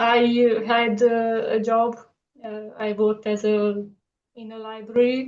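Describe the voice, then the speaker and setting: In a Romanian accent, a woman speaks fairly slowly at a fairly high pitch with monotone, flat intonation, big swings in loudness, and long, frequent pauses. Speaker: artist. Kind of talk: casual interview. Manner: halting with many fillers.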